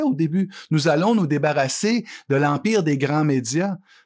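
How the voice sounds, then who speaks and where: In a very clean recording with a silent background, a man speaks at a fairly slow pace and a fairly high pitch. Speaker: columnist and author. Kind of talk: interview. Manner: halting.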